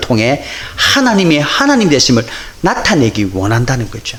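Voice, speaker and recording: A man with a Busan accent talks at a moderate pace, his pitch swinging very widely. Audible room echo and noticeable background noise fill the recording. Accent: Busan dialect intonation. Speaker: pastor. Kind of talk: sermon.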